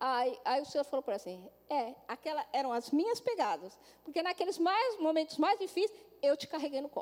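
The tone is animated, with very wide pitch swings. The pace is fairly quick. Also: woman, high pitch for a woman. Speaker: pastor. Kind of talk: sermon.

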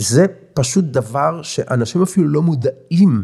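A man's fairly high voice swings very widely in pitch, with a dark, mellow tone and vocal fry. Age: 60s. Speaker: family finance coach. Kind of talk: interview.

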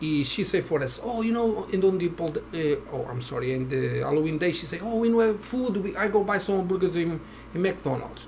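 A man speaks at a moderate pace and high pitch with lively intonation and hardly any pauses. Audible room echo and noticeable background noise come through. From Portugal. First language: Portuguese. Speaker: Halloween house decorator. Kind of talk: casual interview. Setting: at home.

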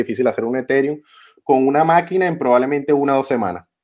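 With a Venezuelan accent, a man speaks at a fairly high pitch with ordinary pitch variation. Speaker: electrical engineer and crypto journalist. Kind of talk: interview.

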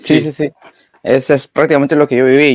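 A man talks at a fairly quick pace in an unremarkable speaking voice. The sound is dry and close, with no echo. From Peru. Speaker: podcast host, university student. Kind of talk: casual conversation.

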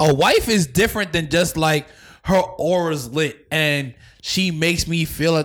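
A man with an American accent and a normal speaking voice, fairly high pitch, moderate pace, in a very clean recording with a silent background. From New York, Staten Island. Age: 20s. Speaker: podcast host. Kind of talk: casual chat.

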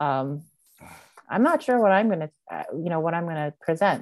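A woman with a normal speaking voice talks at a moderate pace in a fairly low pitch with ordinary pitch variation, on a very clean recording with a silent background and a dry, close sound with no echo. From Montreal, Canada. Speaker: podcast host. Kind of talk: casual interview chat.

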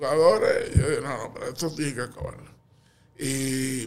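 A fairly slow pace with audible room echo. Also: man. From Puerto Rico, Canóvanas. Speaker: retired teacher and basketball coach. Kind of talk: interview.

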